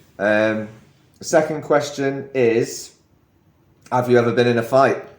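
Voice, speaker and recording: A man's medium-pitched, fairly slow delivery with ordinary pitch variation and very even loudness, in audible room echo. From northwestern England, Chester. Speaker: podcast co-host. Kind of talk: casual chat.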